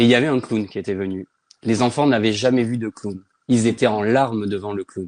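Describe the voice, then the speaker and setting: Here a man talks in a normal speaking voice at a medium pitch. His pace is fairly quick and his intonation fairly even. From Provence, southern France. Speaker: children's author. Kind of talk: casual interview.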